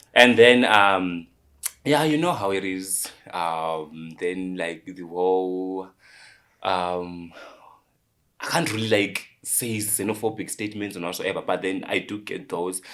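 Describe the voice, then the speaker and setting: Speaking at a fairly slow pace in a strong Zimbabwean accent, a man has a very deep, low pitch and ordinary pitch variation. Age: 20s. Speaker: social media content creator. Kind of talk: interview. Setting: studio. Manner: hesitant, many fillers.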